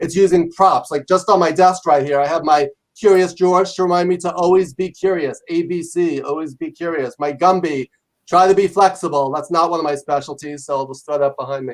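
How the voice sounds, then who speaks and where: Loud and at a fairly quick pace, a man with an American accent speaks in a high pitch with fairly even intonation. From New York. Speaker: leadership professor and author. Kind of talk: interview. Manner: fast.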